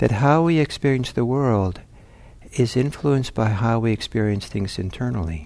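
Pitched medium, a man speaks in a plain, everyday voice with lively intonation. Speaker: meditation teacher. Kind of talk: guided meditation. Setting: talk recorded at a meditation center. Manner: slow, calm, soft-spoken; gentle, unhurried, with long pauses.

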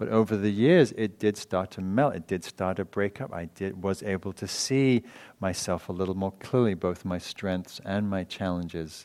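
Speaking in an English accent, a man with a fairly low voice and ordinary pitch variation moves at a moderate pace with hardly any pauses, in a very clean recording with a silent background. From England. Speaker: meditation teacher and author. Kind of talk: dharma talk. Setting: meditation hall with audience.

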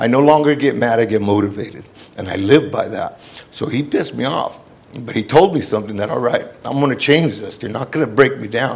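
Against noticeable background noise, a man with an American accent talks at a fairly quick pace in an animated tone, medium in pitch, with big swings in loudness. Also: ordinary pitch variation. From Hollister, California, Central Coast. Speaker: formerly incarcerated man, speaker. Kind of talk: personal testimony, life story. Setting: standing before audience. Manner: animated, plainspoken, emphatic.

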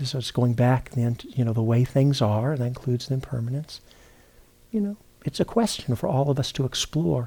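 With a dark, mellow tone and a somewhat breathy quality, this man's speech moves fairly quickly and shows ordinary pitch variation. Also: medium pitch for a man. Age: 60s. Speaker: meditation teacher. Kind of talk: dharma talk. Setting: retreat center. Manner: halting.

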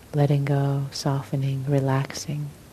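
Over noticeable background noise, a woman with a very deep, low pitch speaks in a gentle, calm tone with monotone, flat intonation. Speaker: meditation teacher. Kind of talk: guided meditation. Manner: slow, soft, gentle, calm; pausing, sighing between phrases.

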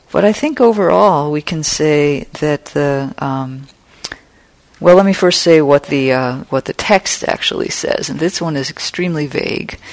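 Clear background noise is present throughout. The talking proceeds at a medium speed. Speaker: meditation teacher. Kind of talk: dharma class discussion. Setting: classroom with microphone.

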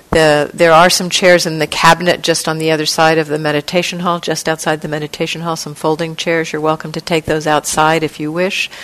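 Very deep, low female voice in monotone, flat intonation, with hardly any pauses over noticeable background noise. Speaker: meditation teacher. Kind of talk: guided meditation. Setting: meditation hall retreat. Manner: slow, gentle, soft-spoken, with long pauses; calm, soothing, tentative, suggesting with 'maybe'.

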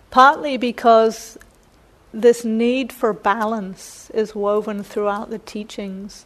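A woman's fairly high voice with a New Zealand accent and monotone, flat intonation. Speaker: meditation teacher giving a Dharma talk. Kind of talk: Dharma talk. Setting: meditation center with live audience.

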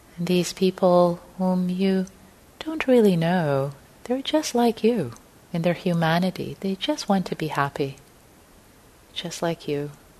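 Over noticeable background noise, a woman speaks at a fairly slow pace with long, frequent pauses, her medium-pitched voice soothing and warm in tone with lively intonation. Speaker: meditation teacher. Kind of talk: gentle guided meditation leading a group into compassionate listening. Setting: meditation hall with live group. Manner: slow, soothing, spacious phrasing with breath-paced pauses; warm, informal and chatty between practices, with fillers.

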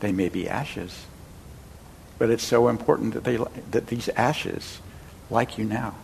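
With fairly even intonation and long, frequent pauses, a man talks at a moderate pace in a medium pitch that sounds somewhat breathy. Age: 70s. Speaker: meditation teacher. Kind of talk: dharma talk. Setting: meditation center with audience. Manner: conversational, storytelling.

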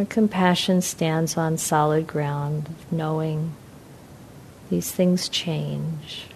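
Very deep, low female voice at a very slow pace, fairly even intonation, noticeable background noise underneath. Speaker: meditation teacher. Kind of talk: guided meditation. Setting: talk at meditation center, evening. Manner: slow, soft-spoken; calm, soothing, with long pauses.

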